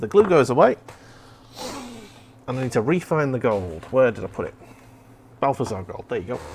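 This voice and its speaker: A man with a slight Merseyside accent talks at a fairly quick pace and medium pitch, with very wide pitch swings. His loudness swings widely, and he leaves long, frequent pauses. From Merseyside, England. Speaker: streamer. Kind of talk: casual chat. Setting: live stream.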